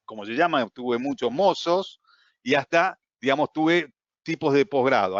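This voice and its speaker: A man with an Argentine accent, fairly high in pitch, with lively intonation. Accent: Argentine Spanish (Rioplatense). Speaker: trading course instructor. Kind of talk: online class.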